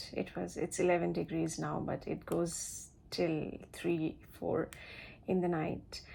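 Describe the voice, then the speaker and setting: In a very clean recording with a silent background, a woman with a Bengali accent speaks at a fairly slow pace. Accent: Indian English (Bengali). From India, Siliguri, West Bengal. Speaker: flight attendant, vlogger. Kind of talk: casual vlog advice. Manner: halting, many fillers.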